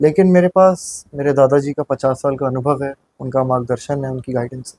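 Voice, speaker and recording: A man with a fairly high pitch speaks in a dark, mellow, somewhat breathy tone with fairly even intonation, recorded dry and close with no echo. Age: 20s. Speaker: municipal election candidate. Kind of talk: interview.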